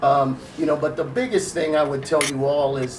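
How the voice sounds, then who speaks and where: With an American accent, a man talks fairly slowly at a fairly high pitch, over noticeable background noise and audible room echo. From US West Coast (Long Beach, California). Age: 60s. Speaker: school staff member. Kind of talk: interview.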